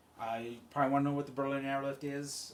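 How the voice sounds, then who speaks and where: A man is heard with audible room echo. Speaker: college instructor. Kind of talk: recorded lecture. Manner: fast; casual, filler-heavy.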